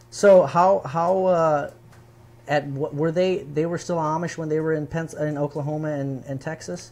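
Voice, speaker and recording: Using an ordinary speaking voice with an American accent, a man talks at a moderate pace, fairly high in pitch, with fairly even intonation. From Michigan. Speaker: live show host. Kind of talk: casual interview chat. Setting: live stream.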